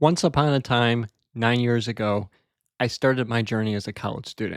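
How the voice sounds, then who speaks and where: In a very clean recording with a silent background, a man with an ordinary speaking voice talks at a medium pitch with fairly even intonation. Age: 20s. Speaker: Toastmasters club member. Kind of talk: practice speech. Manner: conversational, some filler words.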